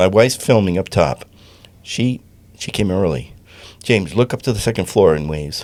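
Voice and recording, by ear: Natural-voiced reading aloud, its intonation lively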